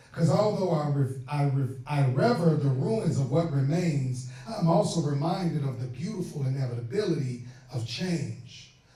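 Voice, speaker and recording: There is noticeable background noise. Over it, a man talks at a moderate pace in a fairly high pitch. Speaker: spoken word poet. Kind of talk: spoken word performance. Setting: live event audience. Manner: lively.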